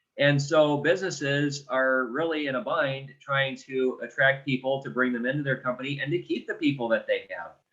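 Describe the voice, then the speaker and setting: With an American accent, a man speaks in an unremarkable speaking voice at a fairly high pitch, a moderate pace and ordinary pitch variation. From Detroit, US Midwest. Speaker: benefits provider. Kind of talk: business pitch. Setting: video call.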